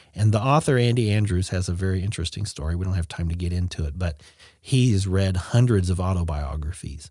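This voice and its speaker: A man with a very deep, low pitch and a dark, mellow tone talks at a fairly quick pace, somewhat breathy, with ordinary pitch variation. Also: very clean recording, silent background. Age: 40s. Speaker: hospice nurse. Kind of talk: testimony.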